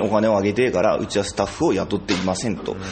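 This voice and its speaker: A man rattles along at a very fast pace while noticeable background noise plays behind him. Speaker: theatre company director and playwright. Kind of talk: casual chat. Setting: rehearsal space.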